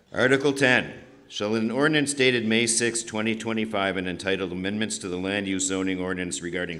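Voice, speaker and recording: Bright and sharp in tone, a man's fairly low voice moves at a fairly quick pace with ordinary pitch variation. There is audible room echo. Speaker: town meeting moderator. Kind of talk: reading warrant articles at town meeting. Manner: fast.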